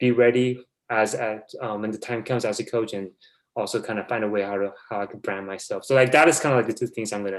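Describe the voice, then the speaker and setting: Speaking very fast, a man holds a medium pitch. The recording is very clean with a silent background. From South Korea. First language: Korean. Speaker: basketball video coordinator. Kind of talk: podcast interview. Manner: halting.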